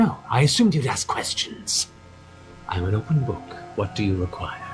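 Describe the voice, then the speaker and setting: A man's put-on character voice, medium in pitch and hissing, at a moderate pace over clear background noise. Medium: actual play. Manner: measured, silky, superior.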